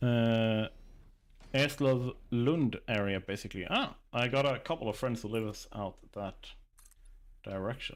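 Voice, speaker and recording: Here a man with a Swedish accent talks at a fairly slow pace, with ordinary pitch variation. He makes long, frequent pauses. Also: medium pitch for a man. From southern Sweden, Scania. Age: 30s. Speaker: gaming streamer. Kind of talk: live gameplay stream chat. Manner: casual, chatty.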